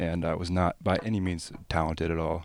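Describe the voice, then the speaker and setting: A man with a very deep, low pitch is heard in a very clean recording with a silent background. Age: 20s. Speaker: business owner. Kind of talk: casual chat. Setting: studio.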